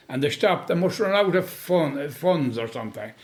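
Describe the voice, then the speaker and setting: The speaker is a man with a western Irish accent. His pitch sits fairly high. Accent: rural west of Ireland. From Boyle, County Roscommon, Ireland. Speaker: storyteller. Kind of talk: interview answer. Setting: kitchen chat over tea.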